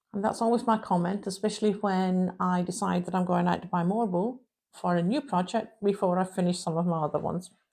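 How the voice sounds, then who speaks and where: A woman with a dark, mellow tone speaks fairly quickly at a medium pitch, her intonation fairly even and her loudness very even. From Shetland Isles, Scotland. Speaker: crochet podcaster. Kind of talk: casual chat.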